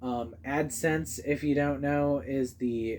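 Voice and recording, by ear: Speaking at a slow pace, a man with a slightly mellow tone keeps his intonation fairly even.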